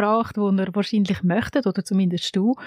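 With a Swiss accent, a woman speaks in a dark, mellow tone with fairly even intonation over a quiet background. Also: dry, close sound with no echo. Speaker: podcast host. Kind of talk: scripted narration; interview.

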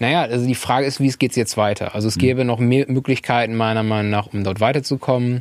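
A man talks at a very fast pace with hardly any pauses. His medium pitch holds fairly even intonation. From Bremen area, northern Germany. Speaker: podcast co-host, political activist. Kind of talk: casual chat.

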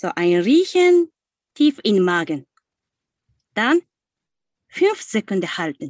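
In a Japanese accent, a woman speaks very slowly at medium pitch, taking long, frequent pauses and making very wide pitch swings. The sound is dry and close with no echo, over a quiet background. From Japan, Osaka. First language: Japanese (speaking German). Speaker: singing teacher. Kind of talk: guided exercise; interview. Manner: halting.

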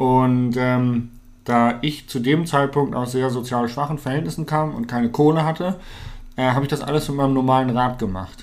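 This man has an unremarkable speaking voice at a medium pitch. His intonation stays fairly even, and his pace is moderate. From northern Germany, Hannover. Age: 20s. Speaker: mountain bike pro and content creator. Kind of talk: casual interview.

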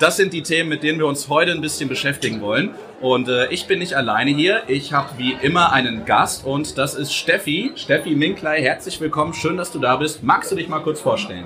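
A man talks at a fairly quick pace in a fairly high pitch, with hardly any pauses. Music plays in the background. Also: ordinary pitch variation. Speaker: podcast host. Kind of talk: casual chat. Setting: live show with audience.

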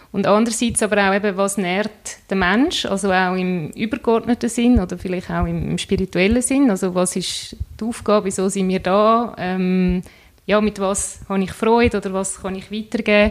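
A woman speaks in a plain, everyday voice at a medium pitch, keeping a moderate pace and fairly even intonation. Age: 30s. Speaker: entrepreneur, nutrition coach. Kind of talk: interview.

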